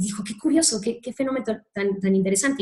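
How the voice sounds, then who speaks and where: Very fast talking from a woman, her pitch varying in an ordinary way. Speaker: speaker at a human rights training talk. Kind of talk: lecture.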